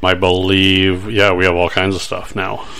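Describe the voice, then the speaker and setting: A man with a very deep, low pitch and monotone, flat intonation, at a fairly slow pace amid noticeable background noise. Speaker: podcast host. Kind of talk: casual chat. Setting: studio.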